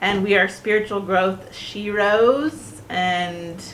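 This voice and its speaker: Speech moves at a very slow pace, with audible room echo. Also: woman. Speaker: podcast co-host, spiritual mentor. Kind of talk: casual chat. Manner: loud. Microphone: cheap non-professional microphone.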